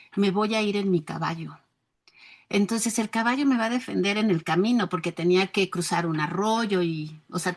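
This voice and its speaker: Over a quiet background, an ordinary speaking voice talks at a moderate pace, its pitch varying in an ordinary way. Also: woman. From rural Mexico. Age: 60s. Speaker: educator. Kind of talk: interview.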